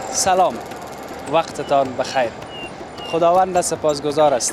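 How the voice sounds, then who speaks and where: A man's fairly high-pitched voice at a fairly slow pace, with ordinary pitch variation and noticeable background noise. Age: 30s. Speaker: street reporter. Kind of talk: on-location TV report.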